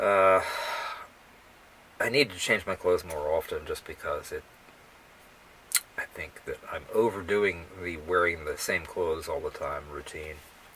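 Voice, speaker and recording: Taking long, frequent pauses, a man talks at a fairly slow pace while noticeable background noise plays behind him. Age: 70s. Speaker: experimental poet. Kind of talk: casual monologue to camera before reading aloud. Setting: at home, self-recorded video. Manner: halting, with fillers.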